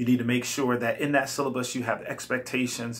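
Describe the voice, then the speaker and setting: Monotone, flat intonation marks this man's delivery. His pitch sits in the medium range. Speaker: college instructor. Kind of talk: recorded class instructions. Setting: self-recorded video. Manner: fast.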